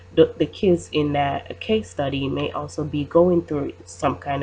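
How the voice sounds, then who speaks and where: With vocal fry and a very deep, low pitch, a woman speaks fairly slowly in very wide pitch swings. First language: not English. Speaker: student. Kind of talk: class presentation. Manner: halting, many fillers.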